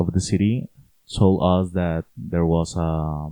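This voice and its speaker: A man's dark, mellow voice with a Spanish accent. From Colombia, Cali. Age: 20s. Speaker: university student. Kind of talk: casual interview. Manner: halting.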